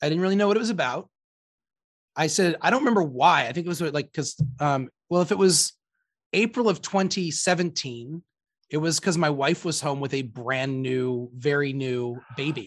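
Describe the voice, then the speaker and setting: An unremarkable speaking voice with lively intonation moves at a moderate pace over a quiet background. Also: man, fairly high pitch for a man. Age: 40s. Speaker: priest and podcast host. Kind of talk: casual interview.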